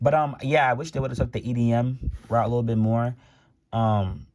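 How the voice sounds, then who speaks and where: A man's somewhat breathy, dark, mellow voice on a very clean recording with a silent background. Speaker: music commentary YouTuber. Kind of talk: casual vlog commentary. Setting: home, in his room. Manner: fast; stuttering, many fillers.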